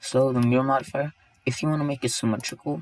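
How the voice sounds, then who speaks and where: Noticeable background noise sits under a man's voice. He talks at medium pitch and a fairly quick pace. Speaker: 3D software tutorial creator. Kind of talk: tutorial. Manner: casual, halting.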